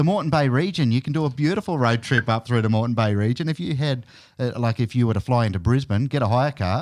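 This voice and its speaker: With an Australian accent, a man at a medium pitch speaks at a very fast pace with lively intonation and very even loudness, in a very clean recording with a silent background. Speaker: radio host. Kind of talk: casual chat.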